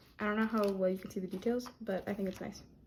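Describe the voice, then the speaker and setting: Somewhat breathy, a woman speaks at a medium pitch with monotone, flat intonation. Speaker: art youtuber. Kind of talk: casual vlog. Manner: stuttering.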